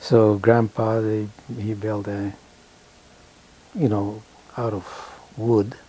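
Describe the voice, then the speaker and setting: Fairly low in pitch, a man speaks with a dark, mellow, somewhat breathy tone and a monotone, flat intonation. His pace is very slow, broken by long, frequent pauses. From Canada, rural Manitoba, Ukrainian community. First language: Ukrainian. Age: 80s+. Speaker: elderly man recounting his life. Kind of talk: life story interview.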